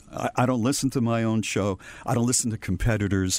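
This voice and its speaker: At a fairly quick pace, a man with an American accent talks in a normal speaking voice, fairly low in pitch, with ordinary pitch variation. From Massachusetts. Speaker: radio veteran. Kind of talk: casual interview.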